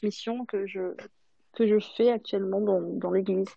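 This woman has a normal speaking voice at medium pitch, with fairly even intonation. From Madagascar. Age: 20s. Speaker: single mother. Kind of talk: panel discussion.

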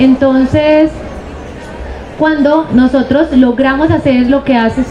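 A high-pitched female voice at a very slow pace, with audible room echo and crowd noise in the background. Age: 40s. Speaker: university professor, sociologist. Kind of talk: panel discussion. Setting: book fair panel with audience.

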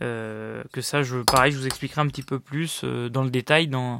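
In a very clean recording with a silent background and a dry, close sound with no echo, a man talks at a fairly slow pace with medium pitch and fairly even intonation. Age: 30s. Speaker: podcast host and private investor. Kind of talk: solo monologue. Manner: hesitant, many fillers.

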